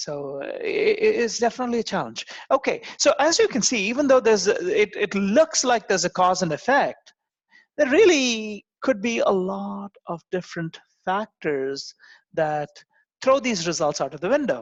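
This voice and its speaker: The voice carries a non-native accent, with a dry sound, no echo and a quiet background. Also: moderate pace. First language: not English. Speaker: university lecturer. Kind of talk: lecture. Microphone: video call.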